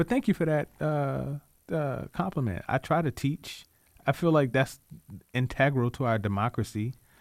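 In a normal speaking voice, a man with an American accent talks at a moderate pace with ordinary pitch variation, on a very clean recording with a silent background and a dry, close sound with no echo. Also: fairly high pitch for a man. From Richmond, Virginia (Southside). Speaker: community activist. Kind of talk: radio interview.

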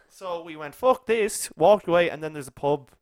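A man talks at a fairly quick pace in a plain, everyday voice with ordinary pitch variation. The sound is dry and close, with no echo. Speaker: podcast host. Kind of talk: casual chat.

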